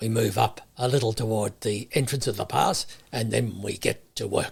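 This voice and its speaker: Moderately paced speech from a man in a put-on character voice, raspy and at a medium pitch. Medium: read story. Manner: dry, matter-of-fact.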